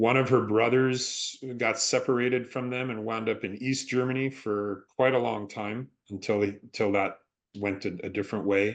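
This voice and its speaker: An ordinary speaking voice that moves at a moderate pace with fairly even intonation. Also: man, medium pitch for a man. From Canada. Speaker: stunt performer and actor. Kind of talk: interview.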